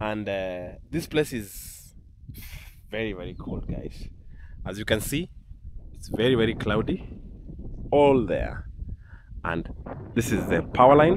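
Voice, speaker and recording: A man talks at a fairly slow pace with fairly low pitch, lively intonation and big swings in loudness, leaving long, frequent pauses. The sound is dry with no echo, over noticeable background noise. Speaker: travel vlogger. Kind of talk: casual vlog chat. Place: open country. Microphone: phone near.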